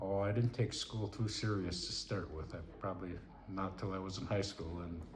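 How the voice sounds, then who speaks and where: A man with an Upper Midwest accent speaks at a very deep, low pitch. Noticeable background noise and audible room echo surround him. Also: fairly even intonation, moderate pace. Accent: Upper Midwest (Minnesota). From Minnesota. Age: 60s. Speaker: retired lineman, grandfather. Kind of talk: family interview. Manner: halting.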